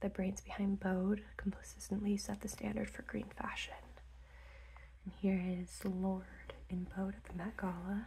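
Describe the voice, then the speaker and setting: The speaker is soft-spoken and talks at a fairly slow pace. Light background noise sits underneath. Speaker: ASMR creator. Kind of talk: ASMR magazine flip-through.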